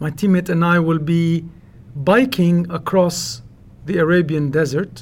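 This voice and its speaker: A man's fairly high voice with a Lebanese accent at a fairly slow pace. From Lebanon, Beirut. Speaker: mountaineer and polar adventurer. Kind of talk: interview.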